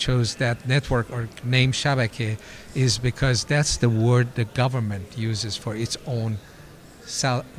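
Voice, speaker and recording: Delivered at a fairly slow pace, a normal speaking voice moves with fairly even intonation. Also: man. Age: 60s. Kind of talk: interview. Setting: convention interview.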